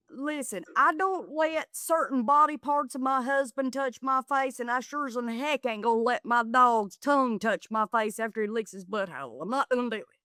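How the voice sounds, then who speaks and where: A high-pitched woman with an American accent, with a bright, sharp tone, ordinary pitch variation, a moderate pace with hardly any pauses, and a dry, close sound with no echo. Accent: Southern US, gets thick when excited. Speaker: comedian and reality TV contestant. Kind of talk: podcast interview, casual chat. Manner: animated.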